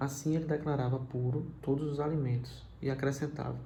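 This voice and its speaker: A soft-spoken man with a somewhat breathy, dark, mellow tone speaks at a fairly high pitch in a monotone, flat delivery, with audible room echo. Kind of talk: scripture reflection. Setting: livestream from home.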